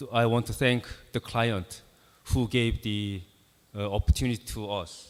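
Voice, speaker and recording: Pausing long and often, a man speaks at a moderate pace with a fairly low pitch, ordinary pitch variation and big swings in loudness. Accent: Korean. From South Korea. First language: Korean. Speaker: architect. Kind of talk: conference presentation. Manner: halting, many fillers.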